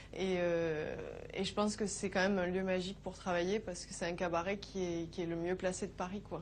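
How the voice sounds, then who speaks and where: A woman's medium-pitched voice at a fairly quick pace, flat and monotone in intonation. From southern France, Nîmes. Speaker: cabaret dancer. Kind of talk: interview.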